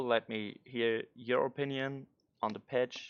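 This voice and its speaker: A man speaks with a non-native accent at a medium pitch. His intonation is flat and monotone, and his pace is fairly slow. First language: not English. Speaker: gaming content creator. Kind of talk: commentary on game patch notes. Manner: halting.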